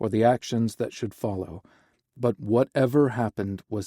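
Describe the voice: Plain reading aloud sits over a quiet background.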